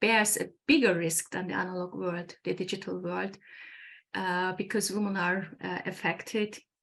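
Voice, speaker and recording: A woman's medium-pitched voice in a Turkish accent, with ordinary pitch variation, on a very clean recording with a silent background. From Turkey. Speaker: engineer and academy founder. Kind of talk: interview. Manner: halting, many fillers.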